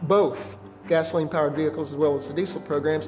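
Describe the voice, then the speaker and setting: Faint music plays behind a man as he talks. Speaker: automotive technology instructor. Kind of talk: interview answer. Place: studio.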